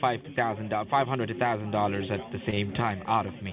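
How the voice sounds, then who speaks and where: Over noticeable background noise, a man talks with a non-native accent. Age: young. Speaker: phone scammer. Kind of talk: confessional phone conversation. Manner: halting, repeats words.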